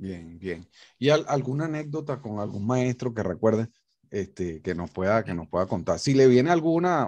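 Against a quiet background, the voice moves at a moderate pace with very wide pitch swings. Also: man, medium pitch for a man. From Venezuela. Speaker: guitar academy director and interviewer; interview host, presenter. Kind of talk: interview. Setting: video call. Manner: halting. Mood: warm, respectful. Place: home room. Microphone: studio mic.

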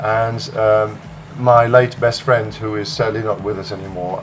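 A man's fairly low, fairly even voice over noticeable background noise. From Netherlands. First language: Dutch. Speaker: music producer; interviewee. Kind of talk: interview. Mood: soft, reflective, somewhat sad. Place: home room.

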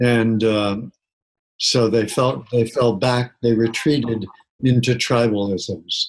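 A man speaks at a very slow pace, his loudness staying very even throughout. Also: fairly even intonation. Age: 70s. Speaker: psychotherapist and keynote speaker; keynote speaker. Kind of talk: interview. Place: home room. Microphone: webcam.

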